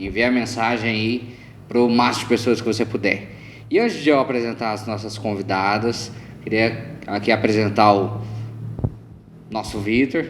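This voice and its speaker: A man speaks at a medium pitch with fairly even intonation, pausing long and often over noticeable background noise. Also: moderate pace. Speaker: podcast co-host. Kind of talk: casual religious podcast chat.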